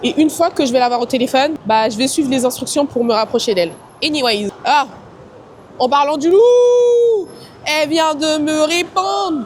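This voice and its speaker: Loud and animated, a woman speaks fairly slowly at a high pitch with very wide pitch swings over noticeable background noise. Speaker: travel and lifestyle vlogger. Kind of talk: casual vlog talk to camera.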